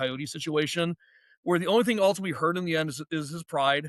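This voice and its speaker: A man with a high pitch, ordinary pitch variation and a very fast pace. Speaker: professor and stand-up comedian. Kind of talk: casual chat. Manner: halting, many fillers and repetitions.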